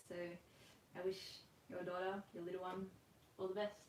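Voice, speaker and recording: A woman talks at a medium pitch in a monotone, flat way. Audible room echo surrounds her voice. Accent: Australian. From Australia. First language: Russian. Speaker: rhythmic gymnast and coach. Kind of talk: online class Q&A. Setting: livestream from home. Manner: casual, filler-heavy.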